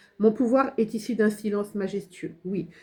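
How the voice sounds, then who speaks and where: A woman's somewhat breathy, dark and mellow voice at a fairly slow pace, with monotone, flat intonation. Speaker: tarot card reader and spiritual medium. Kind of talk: channeled tarot guidance reading. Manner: hesitant, many fillers.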